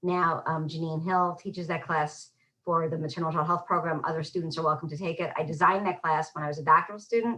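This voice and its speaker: A woman rushes along at a very fast pace with hardly any pauses, her fairly low voice keeping fairly even intonation. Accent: New York. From New York. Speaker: public health professor. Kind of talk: lecture.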